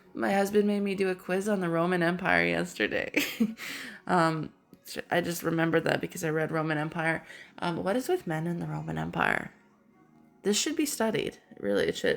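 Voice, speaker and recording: Over music in the background, a woman talks at a fairly quick pace, leaving long, frequent pauses. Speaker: pet channel host. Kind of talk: casual talk to camera, reading fun facts.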